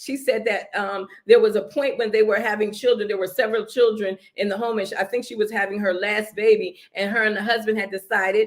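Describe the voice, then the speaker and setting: Fairly high-pitched and animated, a woman talks at a fairly quick pace with hardly any pauses. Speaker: marriage talk show co-host. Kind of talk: motivational talk. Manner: loud.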